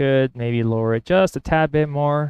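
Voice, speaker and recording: A man talks at a fairly slow pace. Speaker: woodworker. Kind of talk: workshop vlog narration. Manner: halting.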